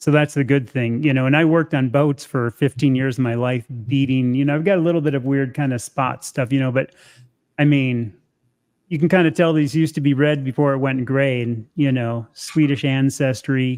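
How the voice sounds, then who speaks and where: A man with an unremarkable speaking voice talks at a fairly quick pace, fairly high-pitched, with fairly even intonation. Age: 60s. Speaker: carnivore diet content creator. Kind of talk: casual chat. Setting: live stream.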